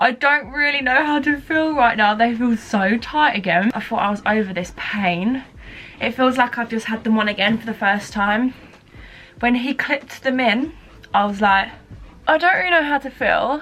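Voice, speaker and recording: A woman's high-pitched voice, varying in an ordinary way, sounds through noticeable background noise. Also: moderate pace. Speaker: beauty and lifestyle vlogger. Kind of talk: casual vlog diary.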